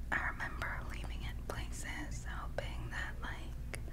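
Soft-spoken whispering under loud background noise. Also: woman. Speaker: ASMR creator. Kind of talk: whispered ASMR storytime. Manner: whispered, soft-spoken. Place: home room. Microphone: studio mic.

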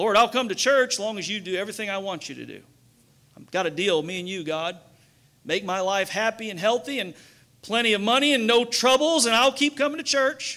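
A man with a high, bright, sharp voice speaks at a fairly quick pace with lively intonation, raised and projected. His loudness swings widely against a quiet background. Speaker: pastor. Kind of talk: sermon. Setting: church. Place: church. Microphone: headset.

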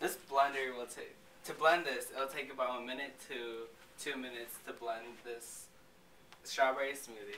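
Amid light background noise and audible room echo, a man talks at a moderate pace with monotone, flat intonation, big swings in loudness, and long, frequent pauses. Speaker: student presenting a class project. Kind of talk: infomercial product pitch demonstration. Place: classroom. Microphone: camera far.

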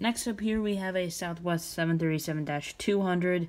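A woman uses an ordinary speaking voice, fairly low in pitch, with ordinary pitch variation. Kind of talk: casual tour narration. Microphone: phone near.

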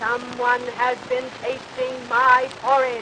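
A woman puts on a gruff, high-pitched character voice. She goes at a very slow pace over clear background noise.

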